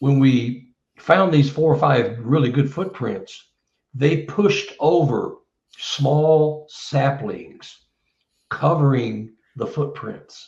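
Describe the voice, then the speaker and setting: Very slowly, a man speaks in a somewhat breathy, fairly high voice with ordinary pitch variation. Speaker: Bigfoot researcher and author. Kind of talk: casual interview chat.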